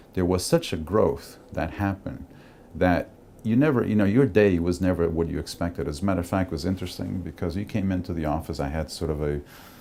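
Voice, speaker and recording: In a Portuguese accent, a man speaks with a very deep, low pitch and a dark, mellow tone. His pace is fairly quick, and his pitch varies in an ordinary way. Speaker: cruise industry executive. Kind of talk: interview testimony. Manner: conversational, somewhat halting.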